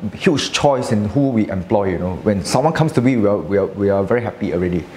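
A man at a fairly quick pace, his pitch swinging very widely, over light background noise. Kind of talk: interview answer. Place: cafe.

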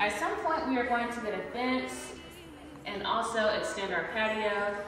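Clear music in the background and audible room echo surround a woman speaking at a fairly slow pace. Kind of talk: casual vlog chat. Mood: happy, proud. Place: empty room. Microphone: camera far.

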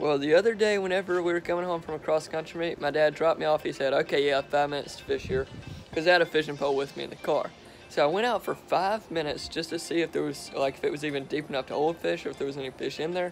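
Faint music plays in the background as the speaker talks at a very fast pace, with ordinary pitch variation. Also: man. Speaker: fishing vlogger. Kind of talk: casual vlog chat. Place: garden. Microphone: phone near.

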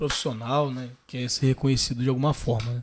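A somewhat breathy man at a moderate pace, over noticeable background noise. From Valença, Rio de Janeiro state, Brazil; Rio de Janeiro state, Brazil. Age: 30s. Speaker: photographer; guest. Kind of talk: casual interview. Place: studio. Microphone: studio mic.

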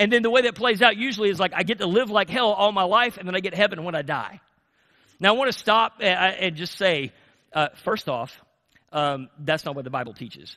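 Against a quiet background, a man with an American accent uses a raised, projected voice that is high-pitched, bright and sharp, with an animated tone, lively intonation and a fairly quick pace. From US South. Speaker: pastor. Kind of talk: sermon. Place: church.

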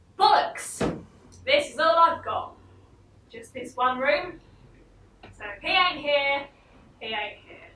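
In a raised, projected voice with a bright, sharp tone, a woman speaks at a very slow pace amid light background noise and audible room echo. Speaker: stage actor in a one-woman play. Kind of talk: theatrical monologue, including one side of phone calls. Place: stage. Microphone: camera far.

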